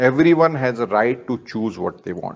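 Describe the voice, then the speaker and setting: A man is speaking. He talks with an Indian accent. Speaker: yoga teacher. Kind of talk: lecture to students with a brief guided closing meditation. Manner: calm, formal, instructive; slow, gentle cues to close eyes and absorb. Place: studio. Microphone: lapel.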